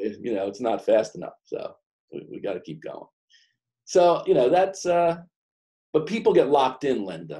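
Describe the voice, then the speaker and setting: Speaking at a moderate pace with an American accent, a man leaves long, frequent pauses as his loudness swings widely. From New York / New Jersey. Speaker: business coach. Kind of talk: professional group discussion. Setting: conference call.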